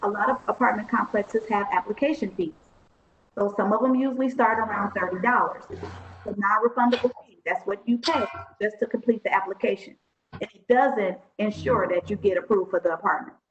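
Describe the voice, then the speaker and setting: Over background music, a woman speaks at a fairly quick pace in a fairly high pitch, with ordinary pitch variation and big swings in loudness. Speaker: workshop trainer. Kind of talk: online workshop presentation. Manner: fast.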